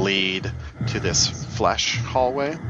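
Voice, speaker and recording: A man's speech crawls along very slowly while noticeable noise sits in the background. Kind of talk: tabletop game master narrating a horror campaign. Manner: vivid, descriptive scene-setting, conversational with casual filler words.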